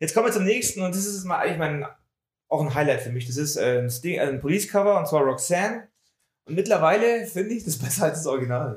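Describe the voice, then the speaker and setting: A fairly high-pitched man at a very fast pace, with lively intonation. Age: middle-aged. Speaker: music podcast co-host. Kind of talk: casual chat.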